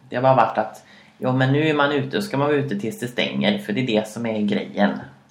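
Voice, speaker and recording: Over audible room echo, a man talks at a very fast pace in a medium pitch with ordinary pitch variation. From Sweden, Karlstad. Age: 20s. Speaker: podcast co-host. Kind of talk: casual chat. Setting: home kitchen.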